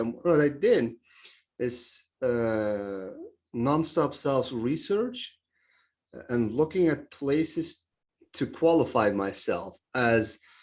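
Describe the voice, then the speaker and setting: A man at medium pitch with lively intonation. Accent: Turkish. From Turkey. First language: Turkish. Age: 30s. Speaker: mindset coach. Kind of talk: podcast interview. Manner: hesitant, many fillers.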